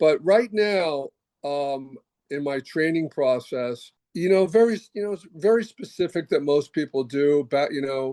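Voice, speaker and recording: A man's fairly high, dark and mellow voice with an American accent, lively intonation and a fairly slow pace, in dry, close sound with no echo. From New Jersey, Paterson. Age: 70s. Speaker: chiropractor and bodybuilder. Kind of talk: podcast interview. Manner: halting, many fillers and restarts.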